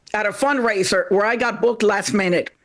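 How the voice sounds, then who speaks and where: This is a woman speaking. She talks with a Panamanian accent. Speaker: stand-up comedian. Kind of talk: stand-up.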